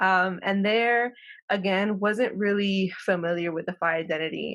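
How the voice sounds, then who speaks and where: Over a quiet background, a woman speaks at a moderate pace with fairly even intonation. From Los Angeles County, California (Mexican American). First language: Spanish. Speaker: professor. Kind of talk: interview.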